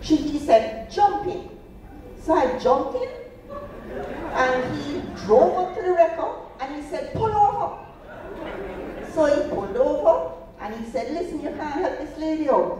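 A woman with a high pitch speaks at a fairly slow pace, with long, frequent pauses and big swings in loudness. Noticeable background noise and audible room echo surround her voice. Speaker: storyteller on stage. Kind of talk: storytelling performance. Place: stage.

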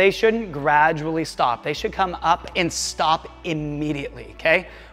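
A man speaks at a moderate pace with ordinary pitch variation as faint music plays in the background. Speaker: gymnastics coach. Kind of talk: tutorial. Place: studio. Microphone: lapel.

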